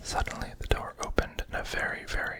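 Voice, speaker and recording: Noticeable background noise sits behind someone's whispering. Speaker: ASMR reader. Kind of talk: whispered ASMR storybook reading. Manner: whispered, soft-spoken.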